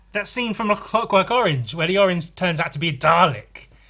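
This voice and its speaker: A man's raised, projected voice, high in pitch, with a bright, sharp tone and very wide pitch swings. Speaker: YouTuber talking to camera. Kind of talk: casual monologue. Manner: hesitant, many fillers.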